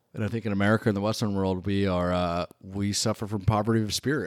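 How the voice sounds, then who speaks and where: Delivered at a fairly quick pace, a normal speaking voice with fairly even intonation sounds dry and close with no echo in a very clean recording against a silent background. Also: man. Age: 40s. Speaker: photographer. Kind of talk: casual chat.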